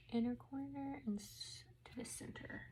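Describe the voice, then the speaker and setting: Over noticeable background noise, a woman mumbles at a very slow pace. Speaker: mom lifestyle blogger. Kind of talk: casual makeup tutorial talk to camera. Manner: mumbling, as if talking to herself.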